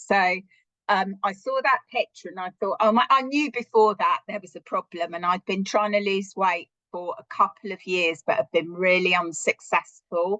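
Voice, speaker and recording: A woman with a British accent speaks at medium pitch and a moderate pace, her bright, sharp tone showing ordinary pitch variation and big swings in loudness, in a dry, close sound with no echo. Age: 60s. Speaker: social worker. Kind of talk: interview testimony.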